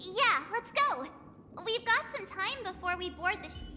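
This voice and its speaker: Against clear background noise, a put-on character voice speaks at a moderate pace and an extremely high pitch. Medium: video game.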